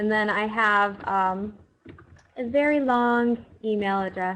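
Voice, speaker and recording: At a fairly high pitch with ordinary pitch variation, a woman speaks in a normal speaking voice. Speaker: biologist. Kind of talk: webinar presentation. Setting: online webinar.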